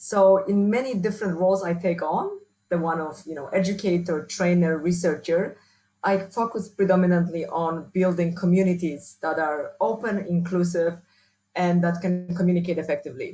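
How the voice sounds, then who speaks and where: In a strong Polish accent, a woman speaks at a moderate pace with a fairly low pitch and fairly even intonation. Her tone is dark and mellow and somewhat breathy. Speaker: university researcher and trainer. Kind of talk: interview.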